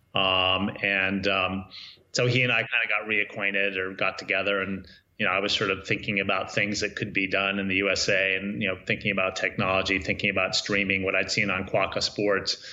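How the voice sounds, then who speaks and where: Here a man with an American accent speaks at a fairly quick pace and a fairly low pitch. His intonation is monotone and flat, and his loudness stays very even. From US. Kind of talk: interview. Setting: remote call.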